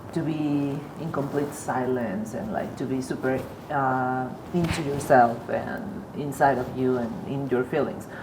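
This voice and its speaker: A woman with a Spanish accent speaks at a fairly slow pace in a very deep, low pitch with ordinary pitch variation. Audible room echo and noticeable background noise fill the recording. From Mexico. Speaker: artist. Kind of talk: casual interview conversation. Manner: halting, many repetitions.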